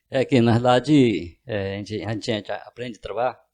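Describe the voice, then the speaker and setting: A man speaks at a fairly quick pace in a dark, mellow tone. His pitch is medium and his intonation fairly even, over a quiet background. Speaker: businessman and deputy mayor. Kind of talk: interview. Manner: halting.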